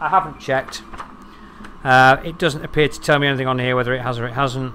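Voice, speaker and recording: This clip features a man talking. The background noise around him is noticeable. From London, England. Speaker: 3D printing YouTuber. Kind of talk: live stream chat and product review. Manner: casual, conversational.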